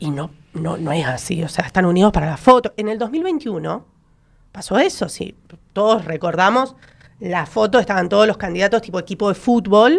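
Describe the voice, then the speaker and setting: A woman's medium-pitched voice, an ordinary speaking voice, at a moderate pace with lively intonation. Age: 30s. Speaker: political consultant; panelist. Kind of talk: radio panel debate. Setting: radio studio. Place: studio. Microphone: studio mic.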